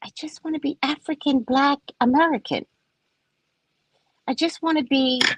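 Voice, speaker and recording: A woman with a high pitch speaks at a moderate pace, leaving long, frequent pauses and swinging widely in loudness. The sound is dry and close with no echo. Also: ordinary pitch variation. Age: 60s. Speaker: psychic reader. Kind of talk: casual live stream chat.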